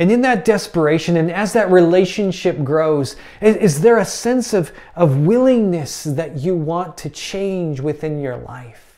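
At a fairly slow pace, a man speaks with a fairly high pitch, a dark, mellow tone and lively intonation.

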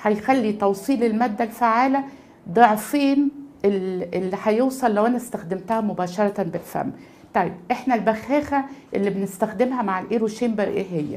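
The speaker has an Egyptian accent, a moderate pace and ordinary pitch variation. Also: woman, fairly high pitch for a woman. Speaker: pediatrics professor and chest allergy consultant; pediatrics professor. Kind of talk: medical tutorial. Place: office.

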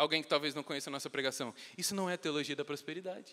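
With a bright, sharp, animated tone, a man speaks fairly quickly at a fairly high pitch, his pitch varying in an ordinary way. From Brazil. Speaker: preacher. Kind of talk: sermon. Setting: church. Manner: earnest, teaching-style, urgent; animated, conversational, joking with the congregation. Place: church. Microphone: handheld.

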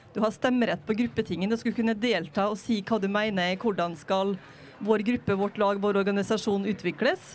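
A woman with fairly high pitch and fairly even intonation speaks in a plain, everyday voice. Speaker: politician. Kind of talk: panel discussion. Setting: on a sailing ship. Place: waterside. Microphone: handheld.

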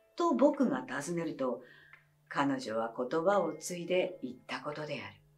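Faint music plays in the background. The speaker goes at a fairly slow pace with very wide pitch swings. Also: woman. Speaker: actress. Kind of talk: audiobook reading of a mystery story. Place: home room.

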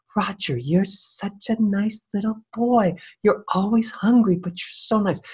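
A breathy, put-on character voice, pitched fairly high and delivered at a fairly slow pace. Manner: warm, coaxing.

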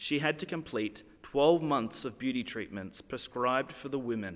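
Ordinary pitch variation from a man at a fairly slow pace. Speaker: church reader or pastor. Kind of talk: scripture reading. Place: church. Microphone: podium.

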